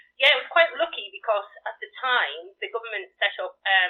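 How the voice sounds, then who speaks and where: A woman in a Geordie accent talks at a fairly quick pace. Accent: Geordie, Newcastle tinge. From northern England, County Durham. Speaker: charity volunteer organiser. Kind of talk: radio interview. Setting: live radio broadcast.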